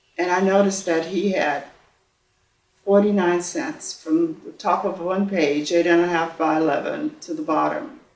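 In a room with audible echo, a woman speaks at a moderate pace and a fairly low pitch. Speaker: interviewee. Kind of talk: interview answer. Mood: warm, reflective storytelling. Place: studio.

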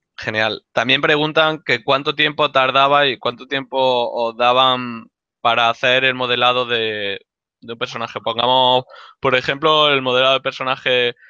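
Speaking at medium pitch, a man keeps a fairly slow pace and monotone, flat intonation. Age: 30s. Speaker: school instructor hosting the talk. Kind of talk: casual introduction and Q&A. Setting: video call.

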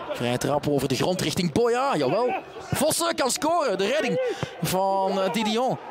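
Against noticeable background noise, a high-pitched man speaks at a fairly slow pace, his pitch swinging very widely while his loudness stays very even. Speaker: football commentator. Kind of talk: live football commentary.

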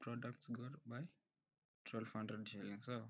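The man talks fairly slowly. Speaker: presenter. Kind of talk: tutorial. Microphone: webcam.

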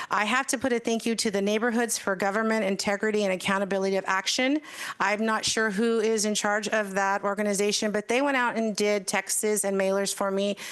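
This woman has an American accent and a medium pitch, speaking at a fairly quick pace with hardly any pauses. Her intonation is monotone and flat, and her loudness stays very even. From US West (Madera, California). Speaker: newly sworn-in mayor. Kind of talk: inaugural speech at council meeting. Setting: council chambers with packed audience. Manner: fast.

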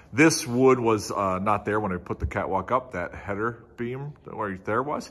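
A man talks in an ordinary speaking voice at a moderate pace with ordinary pitch variation. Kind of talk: casual vlog chat. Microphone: phone near.

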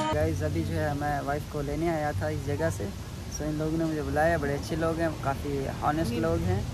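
Noticeable background noise runs through the clip. The sound is dry, with no echo. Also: man. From Pakistan. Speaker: vlogger. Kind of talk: casual vlog talk to camera. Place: street. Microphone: phone near.

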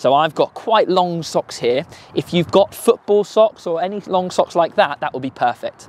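With lively intonation and a moderate pace, a man's voice comes through dry with no echo. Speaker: tennis coach. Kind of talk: tutorial. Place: open country.

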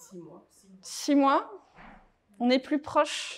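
A woman's voice against a quiet background. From France, Touraine; France. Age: 40s. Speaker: author and divorce coach; speaker. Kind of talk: talk to a small live audience. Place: meeting room.

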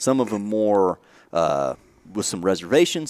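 This is an ordinary speaking voice from a man with a fairly low pitch. The background is quiet and the sound is dry, with no echo. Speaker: podcast host. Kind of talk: podcast intro talk. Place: studio. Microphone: headset.

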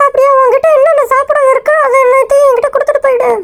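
Put on as a character voice, this one sits at an extremely high pitch with a flat, monotone delivery and a fairly quick pace. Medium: solo performance. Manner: scolding, bossy.

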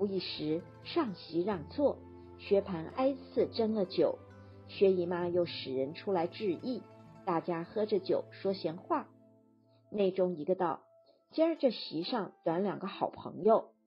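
A woman's medium-pitched voice with lively intonation, at a very slow pace, over music in the background. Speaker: audiobook narrator. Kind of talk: classic novel audiobook reading.

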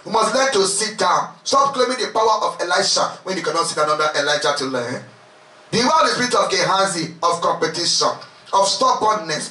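Raised and projected in a room with audible echo, a man's high voice sounds animated, with very wide pitch swings at a fairly quick pace. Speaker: preacher leading a retreat. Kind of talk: sermon, fervent preaching with prayer. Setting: retreat with congregation. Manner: animated, impassioned, exhorting the crowd with repeated calls. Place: home room.

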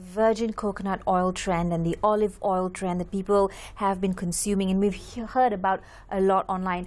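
Monotone, flat intonation marks this woman's medium-pitched voice. She talks at a fairly quick pace. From Malaysia. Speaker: TV news presenter. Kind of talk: TV interview. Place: studio. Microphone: lapel.

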